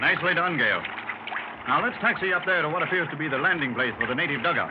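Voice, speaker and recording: Noticeable background noise sits behind a man who talks very fast in a high pitch. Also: ordinary pitch variation. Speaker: doctor telling his adventure story. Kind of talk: old-time radio drama, storytelling to a club.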